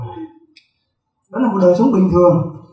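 A high-pitched man's voice with audible room echo. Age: 40s. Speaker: pastor. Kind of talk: sermon. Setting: church service.

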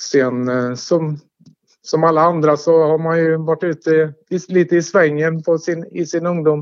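Speech moves fairly slowly. The intonation stays monotone and flat. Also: man, fairly high pitch for a man. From Sweden, Tidaholm (Västergötland). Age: 50s. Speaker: former local resident interviewed about his life. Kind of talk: casual interview. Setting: phone call. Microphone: telephone line.

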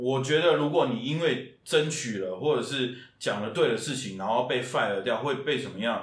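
A man at a medium pitch, fairly quick and with hardly any pauses, ordinary pitch variation, and audible room echo. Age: 30s. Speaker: musical theatre actor and singer. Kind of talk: casual interview chat.

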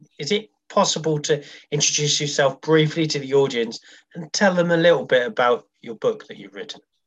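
Using a plain, everyday voice, a man talks at a moderate pace with fairly high pitch, lively intonation and big swings in loudness. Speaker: podcast host. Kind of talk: interview.

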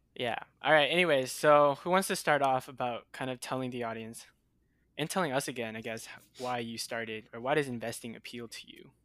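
Speaking at a fairly quick pace, a man with an unremarkable speaking voice keeps a medium pitch, ordinary pitch variation, and big swings in loudness. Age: 20s. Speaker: podcast co-host. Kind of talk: casual chat.

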